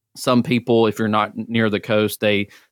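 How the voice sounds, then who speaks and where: A man with an Alabama accent, fairly low in pitch, at a moderate pace, in a dry, close sound with no echo and a very clean recording with a silent background. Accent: Southern US (Alabama). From North Alabama (Centre). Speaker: regional extension agent, horticulturist. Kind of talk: podcast interview.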